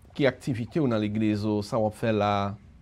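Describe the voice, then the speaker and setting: A man talks at a fairly slow pace with a Haitian accent. The background is quiet. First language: Haitian Creole (speaking French). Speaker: pastor and radio host; pastor, radio host. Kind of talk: radio interview. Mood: warm, smiling. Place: studio.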